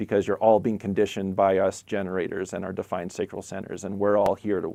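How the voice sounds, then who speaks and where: A man's fairly low, dark and mellow voice, very fast and flat in a monotone. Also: hardly any pauses. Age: 40s. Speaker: spiritual teacher. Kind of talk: live stream chat.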